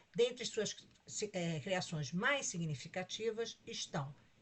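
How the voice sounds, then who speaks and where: A woman's somewhat breathy voice, very slow in pace, with lively intonation. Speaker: conference organizing committee president. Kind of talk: formal introduction of a speaker. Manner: reading a prepared bio.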